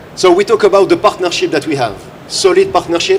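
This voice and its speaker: A man speaks in a French accent at a fairly quick pace. Noticeable background noise runs underneath. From France. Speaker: tech company director presenting. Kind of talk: live trade show presentation.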